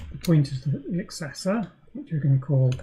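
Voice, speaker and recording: A woman mumbles at a very deep, low pitch in a somewhat breathy voice. Her tone is dark and mellow. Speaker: programmer streaming live coding. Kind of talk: live coding tutorial. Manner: mumbling; hesitant, many fillers.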